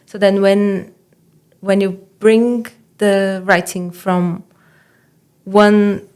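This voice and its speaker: At a very slow pace, a woman speaks in a Portuguese accent with medium pitch and monotone, flat intonation. Long, frequent pauses break her speech, and her loudness swings widely. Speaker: doctoral student and writing mentor. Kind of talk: podcast interview. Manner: hesitant, with fillers and restarts.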